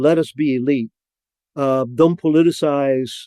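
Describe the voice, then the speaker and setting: This man has a Spanish accent and a dark, mellow tone at fairly high pitch, recorded with a dry, close sound and no echo. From Cuba. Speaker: former intelligence officer. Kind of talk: podcast interview. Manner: halting, many repetitions and fillers.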